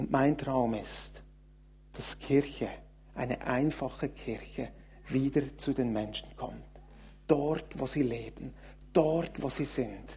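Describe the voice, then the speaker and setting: A very slow pace, broken by long, frequent pauses. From Switzerland, Thun (Bernese Oberland). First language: Swiss German (speaking German). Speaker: guest preacher, church leader. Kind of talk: sermon.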